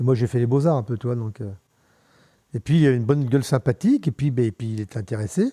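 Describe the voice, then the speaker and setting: This man talks at a very fast pace yet takes long, frequent pauses, his medium-pitched voice somewhat breathy and dark and mellow in tone. The pitch varies in an ordinary way, and the sound is dry and close with no echo. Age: 70s. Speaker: mountain bike pioneer and former bar owner. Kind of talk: casual interview chat. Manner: halting, many repetitions and fillers.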